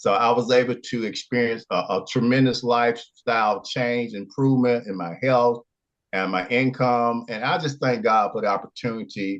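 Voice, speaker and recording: With an Alabama accent, a man of medium pitch talks at a moderate pace with fairly even intonation against a quiet background. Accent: Southern US (Alabama). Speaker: product testimonial giver. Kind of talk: testimony. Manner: halting.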